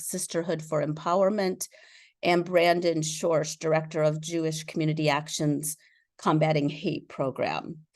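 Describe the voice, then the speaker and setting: A woman speaks at a moderate pace in a fairly low pitch, her intonation flat and monotone, over a quiet background. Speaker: nonprofit executive director. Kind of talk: online event hosting.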